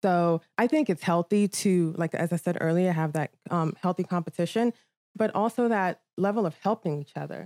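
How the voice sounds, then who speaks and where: A woman's fairly low, dark and mellow voice with an American accent, moderate pace and ordinary pitch variation, in a dry, close, echo-free and very clean recording over a silent background. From Nigeria, then London, New York, Maryland and Virginia. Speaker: modeling agency owner. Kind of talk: casual chat.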